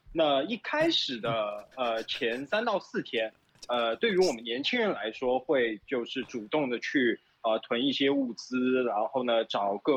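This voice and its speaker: With ordinary pitch variation, this man talks in an unremarkable speaking voice. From Shanghai, China. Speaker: Shanghai resident during lockdown. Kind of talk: casual interview.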